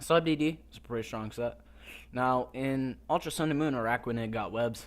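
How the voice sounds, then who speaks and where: At a moderate pace, a man with a medium pitch speaks with ordinary pitch variation and big swings in loudness. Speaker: gaming YouTuber. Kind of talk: gameplay commentary.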